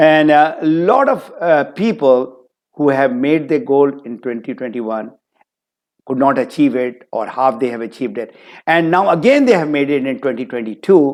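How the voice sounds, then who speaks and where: With a plain, everyday voice, a man talks at a moderate pace, his fairly high pitch varying in an ordinary way. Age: 60s. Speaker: motivational speaker and business trainer. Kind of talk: webinar talk. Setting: online webinar.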